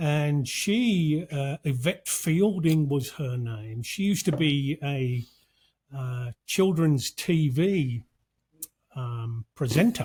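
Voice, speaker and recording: With a British accent, a man speaks very slowly in a fairly high, somewhat breathy voice with lively intonation. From UK. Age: 60s. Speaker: podcast host. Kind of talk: casual chat.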